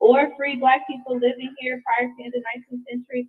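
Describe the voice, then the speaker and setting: Over music in the background, a woman with an American accent talks at a very fast pace in a high pitch. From California. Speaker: education coordinator giving public comment. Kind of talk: public comment. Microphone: too quiet on headset.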